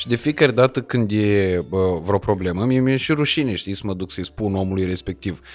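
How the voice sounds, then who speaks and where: Music plays in the background as a man talks at a fairly quick pace, his fairly low pitch showing ordinary variation. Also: hardly any pauses. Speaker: podcast host. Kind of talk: casual chat; scripted sponsor intro. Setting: penthouse set.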